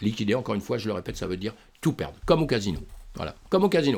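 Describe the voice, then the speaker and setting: A man talking at a very fast pace. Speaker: crypto trading youtuber. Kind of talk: trading tutorial. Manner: animated.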